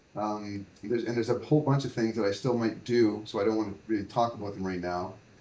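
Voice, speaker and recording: A man's dark, mellow tone at a medium pitch, fairly even in intonation and fairly quick in pace. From Canada, New Brunswick. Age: 60s. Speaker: entrepreneur, brewery founder. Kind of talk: podcast interview. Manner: halting, many fillers.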